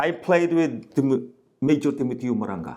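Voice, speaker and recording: This man's voice carries vocal fry. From Mindanao, Philippines. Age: 70s. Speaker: martial arts grandmaster. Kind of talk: interview.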